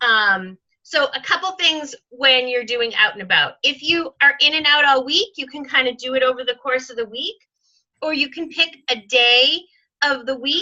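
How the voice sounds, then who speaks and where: A woman's raised, projected voice, high-pitched with a bright, sharp tone, at a fairly slow pace. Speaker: sales team leader and trainer. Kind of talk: training session on video call. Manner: lots of fillers.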